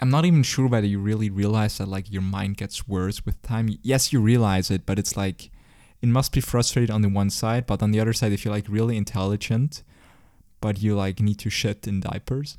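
A man with a Swiss German accent speaks fairly quickly in a fairly low pitch, his tone dark and mellow and his intonation fairly even. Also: very clean recording, silent background. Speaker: podcast host. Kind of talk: casual chat.

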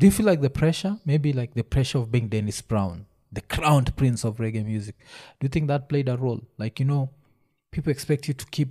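A man at medium pitch with ordinary variation, somewhat breathy and dark and mellow in tone, at a fairly quick pace, in a dry, close, echo-free and very clean recording with a silent background. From Kenya. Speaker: podcast host. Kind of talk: casual chat.

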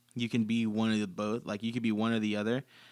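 An unremarkable speaking voice from a man at medium pitch and fairly quick pace, on a very clean recording with a silent background. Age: 20s. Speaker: podcast host and coffee barista. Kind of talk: casual chat.

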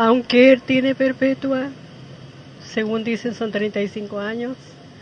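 A woman speaks very slowly at a fairly high pitch, with ordinary pitch variation. Noticeable background noise is present. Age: 70s. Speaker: mother of a femicide victim. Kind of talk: testimony. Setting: outdoors at a plaza rally. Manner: halting.

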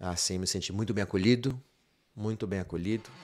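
Fairly low male speech with ordinary rises and falls in pitch, very cleanly recorded against a silent background. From Bahia, Brazil (rural interior). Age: 50s. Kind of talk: casual interview chat.

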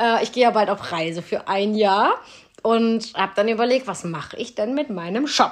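A woman uses a plain, everyday voice, keeping a moderate pace and lively intonation. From Cologne, Germany. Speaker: podcast host and small business owner. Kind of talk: casual chat.

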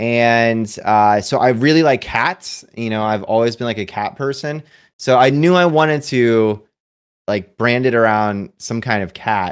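On a very clean recording with a silent background, a man speaks at a fairly slow pace. His pitch is medium with ordinary variation. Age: 20s. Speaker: Hearthstone streamer. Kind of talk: casual chat. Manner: animated.

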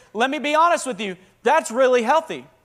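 A man talks at a fairly quick pace in a Southern accent. His animated tone spans very wide pitch swings. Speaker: pastor. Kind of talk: sermon.

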